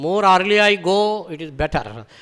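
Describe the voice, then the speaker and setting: A man speaks with a Bengali accent. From Bengal, India. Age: 60s. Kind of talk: scripture lecture. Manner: repetitive, rhetorical questions.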